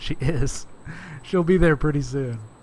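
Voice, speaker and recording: A man speaks in an American accent with ordinary pitch variation. There is audible room echo. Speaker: podcast guest, game developer. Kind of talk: casual chat.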